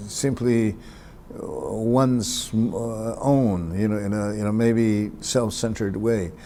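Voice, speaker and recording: A man's medium-pitched voice at a very slow pace with fairly even intonation, amid audible room echo and noticeable background noise. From New Mexico, Acoma Pueblo. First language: Acoma (Keresan). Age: 60s. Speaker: poet and professor. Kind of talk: interview. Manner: hesitant, many fillers.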